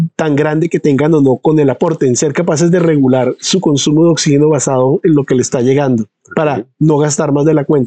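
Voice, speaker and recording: An ordinary speaking voice, moderate in pace and ordinary in pitch variation, dry and close with no echo. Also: man. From Colombia, San Andrés island. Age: 50s. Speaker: pulmonologist and physiology researcher. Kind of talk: interview.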